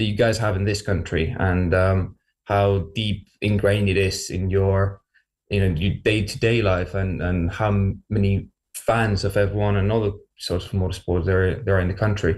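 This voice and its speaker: The voice is somewhat breathy, with a Spanish accent. Its intonation is monotone and flat, and its loudness is very even. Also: man, fairly low pitch for a man, moderate pace, very clean recording, silent background. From Spain. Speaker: university motorsport team leader. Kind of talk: radio interview.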